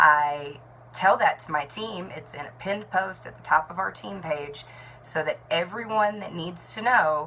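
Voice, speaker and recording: Noticeable background noise sits under the speech. A woman talks at a moderate pace with ordinary pitch variation. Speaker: network marketing team leader and nurse. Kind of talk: talking-head tutorial.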